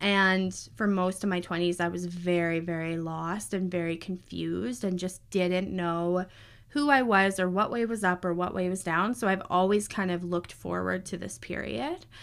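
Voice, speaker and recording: In a very clean recording with a silent background, a woman with a normal speaking voice talks at a moderate pace, medium pitch and ordinary pitch variation. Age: 30s. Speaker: podcast host, astrologer and human design guide. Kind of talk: casual solo monologue.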